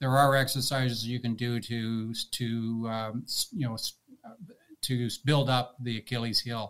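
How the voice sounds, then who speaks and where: A man with a Canadian accent speaks at a medium pitch in a monotone, flat intonation. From Canada (mostly Toronto). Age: 60s. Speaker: retired long-distance cyclist. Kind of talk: casual interview chat.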